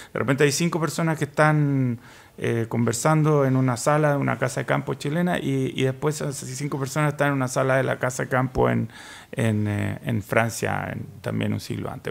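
Fairly even intonation from a man, at a moderate pace. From Chile. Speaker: writer; guest. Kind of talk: panel discussion. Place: studio. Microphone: studio mic.

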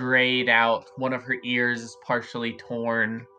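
The text is given as plain reading aloud.

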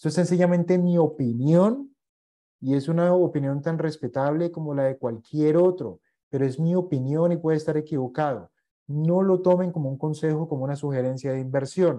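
Against a quiet background, a man with a fairly high pitch speaks in a dark, mellow tone. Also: ordinary pitch variation, moderate pace. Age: 40s. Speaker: investment educator. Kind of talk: online masterclass lecture; lecture. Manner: hesitant, frequent fillers. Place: home room.

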